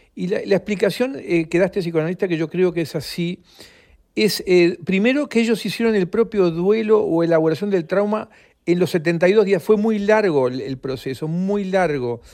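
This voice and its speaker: A man speaks with a Uruguayan accent. His pitch sits high for a man. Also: ordinary pitch variation, moderate pace, quiet background. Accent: Rioplatense Spanish (Uruguayan). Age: 70s. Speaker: author. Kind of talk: interview. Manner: halting, frequent repetitions.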